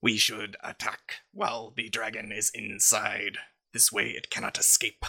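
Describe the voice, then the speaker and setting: A man's put-on character voice at a medium pitch and moderate pace. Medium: actual play. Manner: measured, formal.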